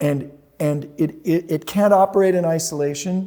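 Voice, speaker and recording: Speaking fairly slowly with an American accent, a man has a fairly high pitch and a dark, mellow tone. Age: 70s. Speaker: healthcare analyst and investor. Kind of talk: interview.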